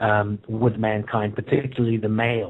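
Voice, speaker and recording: Fairly even intonation in a New Zealand accent. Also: man. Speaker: author. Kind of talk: interview. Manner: halting, many fillers.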